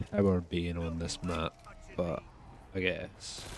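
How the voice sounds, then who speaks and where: A man's very deep, low voice with a strong Scottish accent. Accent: heavy Scottish. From Scotland. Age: young. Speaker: gaming youtuber. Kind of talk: gameplay commentary. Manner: casual, filler-heavy.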